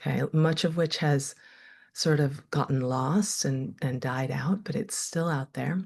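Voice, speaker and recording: Over a quiet background, the speech comes somewhat breathy at a fairly slow pace with ordinary pitch variation. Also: woman, very deep, low pitch for a woman. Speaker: meditation teacher and therapist. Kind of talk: online workshop teaching. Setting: video call. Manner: casual, hesitant with self-corrections.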